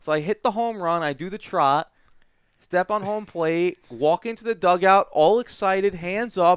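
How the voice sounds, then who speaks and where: The recording is dry and close with no echo as a man speaks at a high pitch with ordinary pitch variation. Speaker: gaming podcast co-host. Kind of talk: casual chat. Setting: studio. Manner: fast.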